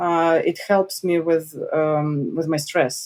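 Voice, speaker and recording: Very slow speech in a Russian accent. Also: woman. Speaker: journalist. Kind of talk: interview.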